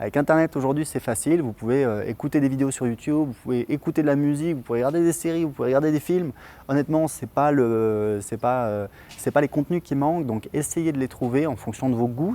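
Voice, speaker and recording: Speaking at a very fast pace, a man uses a fairly high pitch with a dark, mellow tone and ordinary pitch variation. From France. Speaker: online English teacher. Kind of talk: tutorial. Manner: hesitant, many fillers.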